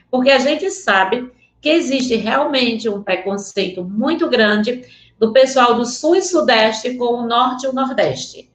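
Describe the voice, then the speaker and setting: A woman's high voice, lively in intonation, at a fairly slow pace. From Northeast Brazil (rural area near Vaz Alegre). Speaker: teacher. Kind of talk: online lecture. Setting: remote video link. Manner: animated.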